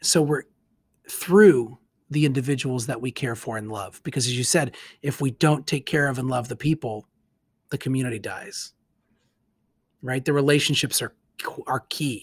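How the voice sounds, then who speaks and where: Recorded very cleanly against a silent background, a man with a medium pitch and a somewhat breathy voice leaves long, frequent pauses. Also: ordinary pitch variation, moderate pace, dry, close sound with no echo. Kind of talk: casual discussion of scripture and community.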